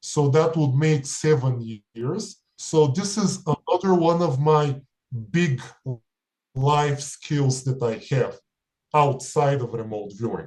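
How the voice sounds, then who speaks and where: Somewhat breathy man's voice, fairly high in pitch with ordinary pitch variation, very slow pace and long, frequent pauses. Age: 30s. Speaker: remote viewer and spiritual practitioner. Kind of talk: interview monologue.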